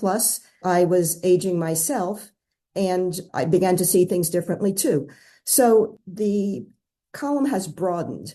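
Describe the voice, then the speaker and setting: A woman's dark, mellow tone at a very slow pace, ordinary pitch variation and a quiet background. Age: 70s. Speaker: newspaper columnist. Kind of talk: interview.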